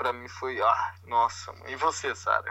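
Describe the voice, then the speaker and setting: The man's tone is bright and sharp. He speaks at a fairly slow pace. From Brazil, Vila Velha (Greater Vitória), Espírito Santo. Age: 20s. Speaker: podcast co-host, Brazilian expat. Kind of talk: casual chat.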